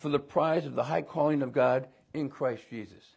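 A man's vocal fry at a moderate pace, ordinary pitch variation, and a quiet background. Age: 70s. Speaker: pastor. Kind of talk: sermon. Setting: church. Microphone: lapel.

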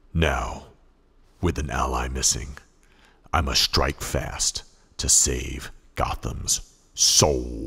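A man puts on a raspy, menacing character voice, very deep and low in pitch, speaking at a very slow pace with fairly even intonation and long, frequent pauses. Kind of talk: hard-boiled voice-over. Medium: short film. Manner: grim, menacing, terse.

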